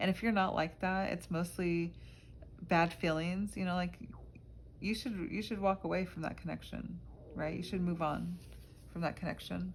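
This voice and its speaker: A woman speaks at a moderate pace with long, frequent pauses. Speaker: tarot reader. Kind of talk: tarot reading monologue. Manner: hesitant, many fillers.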